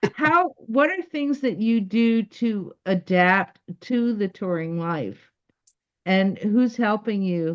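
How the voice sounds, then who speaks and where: Speaking very slowly, a woman uses lively intonation at a medium pitch. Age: 60s. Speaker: interview show host. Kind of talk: casual interview. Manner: halting.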